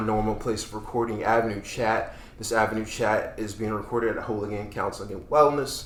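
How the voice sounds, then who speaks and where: A man speaks at a fairly quick pace in an ordinary speaking voice, his pitch medium. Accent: American. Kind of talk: casual podcast host talk. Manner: upbeat.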